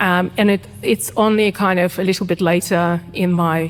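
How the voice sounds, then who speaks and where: A woman with a Russian accent, fairly low-pitched, fairly slow and fairly even in intonation. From Ukraine, Kharkiv; emigrated as teenager to Australia. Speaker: writer and cultural historian. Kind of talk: podcast interview. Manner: hesitant with fillers.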